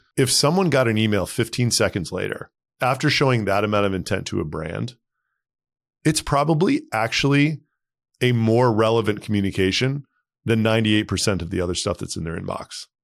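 A man speaks in a plain, everyday voice at a medium pitch, fairly quickly and with lively intonation. The recording is very clean, with a silent background. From Texas. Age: 40s. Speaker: tech startup founder and CEO. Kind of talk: interview.

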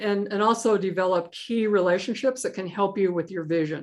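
A plain, everyday voice speaks with an American accent. Its pitch varies in an ordinary way over a quiet background. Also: woman. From US West (Idaho). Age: 60s. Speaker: author and angel investor. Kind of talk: interview.

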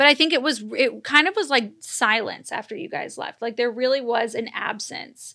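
A woman speaks with a high pitch and a bright, sharp tone in an American accent. Her pace is moderate, her pitch variation ordinary, and she leaves hardly any pauses. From Los Angeles, US. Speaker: podcast host. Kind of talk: casual chat.

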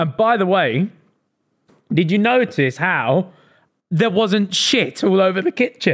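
A man's high-pitched voice in an English accent, fairly slow with long, frequent pauses, very even loudness and lively intonation. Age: 20s. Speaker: podcast co-host. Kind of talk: casual chat.

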